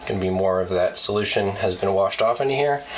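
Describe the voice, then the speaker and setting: A man speaks very fast in a fairly low voice with fairly even intonation. Noticeable background noise runs underneath. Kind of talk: casual DIY tutorial talk to camera. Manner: casual, hesitant with many fillers.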